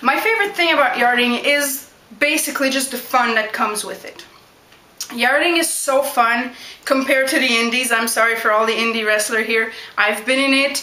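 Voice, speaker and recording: Heard with audible room echo and noticeable background noise, the speech keeps a moderate pace and ordinary pitch variation. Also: woman. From Quebec, Canada (Montreal). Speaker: backyard wrestler. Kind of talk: Q&A vlog.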